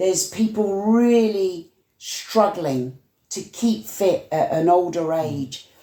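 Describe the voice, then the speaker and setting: A woman with a West Yorkshire accent speaks at a medium pitch in a dark, mellow tone. Her pace is very slow. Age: 70s. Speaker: community activist. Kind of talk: casual chat.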